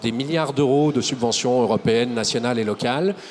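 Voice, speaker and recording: Talking fairly quickly, a man is heard against noticeable background noise. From Lyon area, France. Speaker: ecologist politician. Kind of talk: TV debate. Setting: TV set at an agricultural fair.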